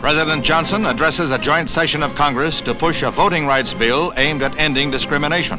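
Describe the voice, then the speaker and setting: With music in the background, a man speaks very fast at a fairly high pitch, with hardly any pauses, fairly even intonation, and very even loudness. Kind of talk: newsreel narration. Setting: 1960s newsreel recording.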